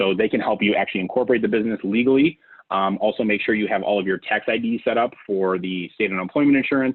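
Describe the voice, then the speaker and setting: At a very fast pace, a man talks with a fairly low pitch. His pitch variation is ordinary. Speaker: payroll services sales representative. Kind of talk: business webinar presentation. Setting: video call.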